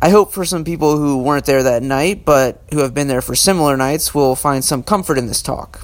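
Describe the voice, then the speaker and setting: At a fairly quick pace and with hardly any pauses, a man talks in a fairly high pitch with ordinary pitch variation. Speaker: podcast host. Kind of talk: scripted narration. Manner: imitating another podcaster's speech pattern.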